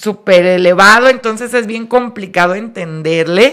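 A woman with a fairly high pitch speaks in a bright, sharp tone with lively intonation. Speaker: radio host. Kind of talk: casual chat.

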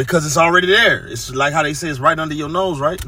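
There is noticeable background noise behind this voice. A man talks with a fairly high pitch. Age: 30s. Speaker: podcast guest. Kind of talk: casual chat.

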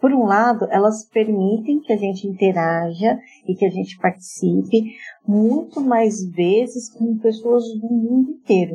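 A woman's fairly high, somewhat breathy voice at a fairly slow pace, with ordinary pitch variation. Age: 40s. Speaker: journalist and marketing project manager. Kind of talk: interview.

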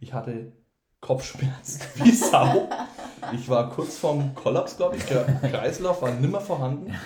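A man with a fairly high pitch talks at a fairly slow pace, his loudness swinging widely amid audible room echo. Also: ordinary pitch variation. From Franconia, Germany (Wendelstein near Nuremberg). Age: 20s. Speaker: student. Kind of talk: casual chat.

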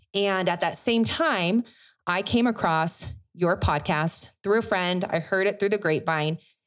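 A woman uses a plain, everyday voice at medium pitch, with ordinary pitch variation and very even loudness at a fairly slow pace. The recording is very clean, with a silent background. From US, moved around. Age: 30s. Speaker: podcast host. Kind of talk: casual interview chat. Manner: warm, expressive.

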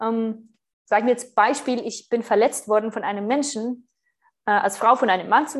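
A woman's fairly high voice at a moderate pace, with fairly even intonation, against a quiet background. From Switzerland. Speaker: spiritual retreat leader and podcaster. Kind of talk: interview conversation.

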